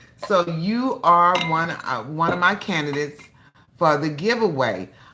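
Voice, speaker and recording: The voice has a bright, sharp tone and very wide pitch swings, heard with audible room echo. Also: woman. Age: 60s. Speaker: cooking channel host. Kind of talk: casual livestream chat. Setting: livestream.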